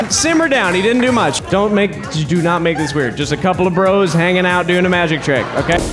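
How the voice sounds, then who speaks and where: With clear music in the background, a man speaks at a fairly quick pace in a high pitch, with ordinary pitch variation and hardly any pauses. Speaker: comedian and magician. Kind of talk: live stand-up comedy magic show. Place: stage. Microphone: handheld.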